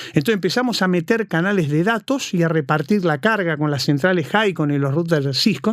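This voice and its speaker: With lively intonation and hardly any pauses, a man talks at a fairly quick pace in a high pitch. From Argentina. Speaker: cybersecurity consultant. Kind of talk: interview.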